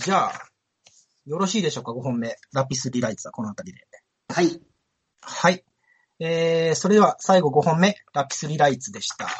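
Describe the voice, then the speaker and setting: The pace is fairly quick. Long, frequent pauses break up the speech. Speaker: writer and anime podcast host. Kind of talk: casual chat.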